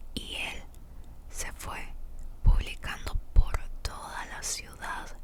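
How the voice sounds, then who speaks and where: A woman is whispering. Noticeable noise can be heard in the background. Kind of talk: whispered Bible reading. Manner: whispered, soft.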